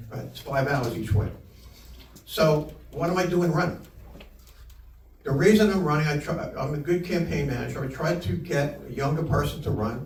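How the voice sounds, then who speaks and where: In a room with audible echo, a man with a fairly high pitch speaks at a moderate pace with ordinary pitch variation and long, frequent pauses. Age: 70s. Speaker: political candidate. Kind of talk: campaign speech. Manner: halting, repeats words.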